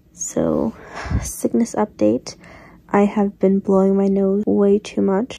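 A woman talks at a very slow pace. Her loudness stays very even throughout. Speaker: vlogger. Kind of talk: casual vlog chat. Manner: congested, sick voice late at night. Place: home room.

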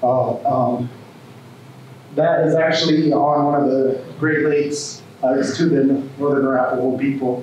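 Over light background noise and strong room echo, a man with a fairly high pitch talks fairly slowly in a flat monotone, with very even loudness and long, frequent pauses. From Wind River and Pine Ridge reservations. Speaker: conservation corps coordinator; speaker. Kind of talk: presentation. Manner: halting. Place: hall.

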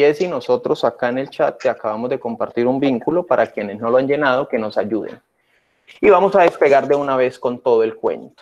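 Speaking at a fairly quick pace, a man talks with a Colombian accent. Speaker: workshop host, teacher trainer. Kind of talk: online workshop tutorial. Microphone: webcam.

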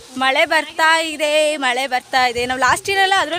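Raised, projected speech from a woman, with noticeable background noise behind it. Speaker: vlogger. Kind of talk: casual vlog narration.

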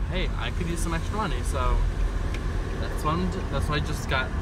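A man speaks in a dry sound with no echo. Loud background noise runs behind him. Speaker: student vlogger. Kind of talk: casual vlog chat. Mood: relaxed, chatty. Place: car. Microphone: phone near.

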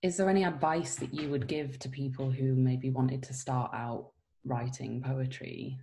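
Over light background noise, a woman with a very deep, low pitch speaks at a moderate pace with fairly even intonation. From Scarborough, England. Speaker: actor and poet, interviewer. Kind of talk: interview. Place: home room.

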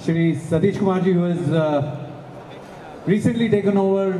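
A man talks at a fairly slow pace with a high pitch and fairly even intonation. Room echo is audible, along with light background noise. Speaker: guest. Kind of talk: event speech. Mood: grateful, warm. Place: stage. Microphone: handheld.

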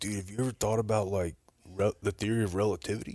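Using a put-on character voice, a man talks at a very fast pace with a fairly low pitch and fairly even intonation. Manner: pseudo-deep.

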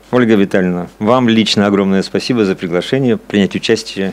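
A man does the talking. He keeps his intonation fairly even. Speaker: psychology professor and discussion moderator. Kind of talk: moderated academic discussion. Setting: seminar room with audience and microphones. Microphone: podium.

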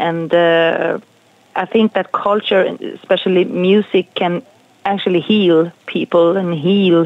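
A woman with a Swedish accent speaks at a very slow pace and fairly low pitch, her intonation fairly even and the sound dry with no echo. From Sweden. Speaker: jazz singer. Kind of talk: interview. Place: studio.

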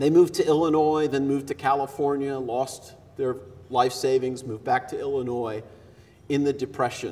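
A man speaks at a moderate pace. His fairly high voice has monotone, flat intonation. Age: 50s. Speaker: consulting psychologist, conference speaker. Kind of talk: keynote speech. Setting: stage with audience. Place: hall. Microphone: headset.

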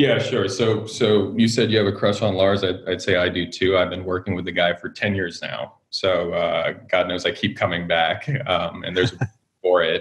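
Fairly low-pitched male speech at a moderate pace, with fairly even intonation and hardly any pauses. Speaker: guest. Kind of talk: interview answer. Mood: friendly, relaxed. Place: home room. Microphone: video call.

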